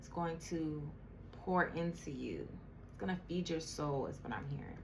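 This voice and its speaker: Over noticeable background noise and audible room echo, a woman talks in a fairly low pitch with monotone, flat intonation. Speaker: tarot reader. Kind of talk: tarot reading. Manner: slow.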